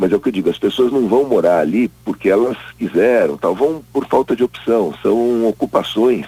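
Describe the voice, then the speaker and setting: The sound is dry and close, with no echo, as a man speaks at a moderate pace. His tone is dark and mellow, with ordinary pitch variation. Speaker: environmental science professor. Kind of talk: interview.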